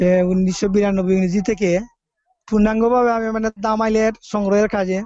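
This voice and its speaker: One man speaks at a high pitch with fairly even intonation. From Bangladesh, Sylhet (Moulvibazar, Sreemangal). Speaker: folk music collector and academy founder. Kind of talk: interview. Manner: halting.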